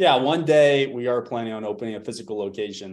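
Here is a man with a plain, everyday voice at a medium pitch. He moves at a fairly quick pace with ordinary pitch variation. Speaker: fitness coach. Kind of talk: casual chat. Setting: video call.

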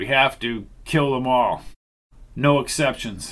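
A man's strained, put-on character voice at medium pitch, delivered at a fairly slow pace. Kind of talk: blunt, commanding. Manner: constrained, restrained, grim.

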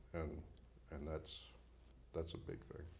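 With a very deep, low pitch and a dark, mellow tone, a man speaks at a fairly quick pace, somewhat breathy, amid audible room echo. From Maine, Bangor. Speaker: fisheries biologist. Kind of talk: casual interview. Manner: halting, many fillers.

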